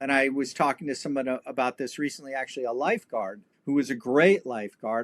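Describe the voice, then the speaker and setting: This man speaks in an ordinary speaking voice, fairly high in pitch, with an American accent at a fairly quick pace. The recording is very clean with a silent background, and the sound is dry and close with no echo. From Los Angeles, California. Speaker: historian and martial artist. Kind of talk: casual interview chat.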